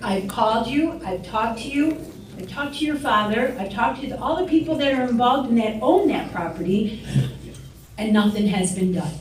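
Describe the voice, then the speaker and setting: A woman with an American accent, fairly high-pitched and fairly quick, with lively intonation, audible room echo and noticeable background noise. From Joliet, Illinois (East Side). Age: 60s. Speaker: public commenter at township meeting. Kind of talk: public comment speech.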